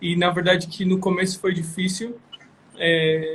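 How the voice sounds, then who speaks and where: Over noticeable background noise, a man speaks fairly slowly in a high, monotone voice with flat intonation. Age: 20s. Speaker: missionary. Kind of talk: testimony. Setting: Instagram live video.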